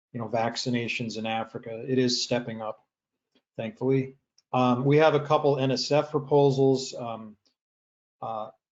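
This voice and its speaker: Medium-pitched male voice with fairly even intonation and long, frequent pauses. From US Upper Midwest, Michigan (Sault Ste. Marie). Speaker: oceanography professor. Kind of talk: webinar talk. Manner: fast.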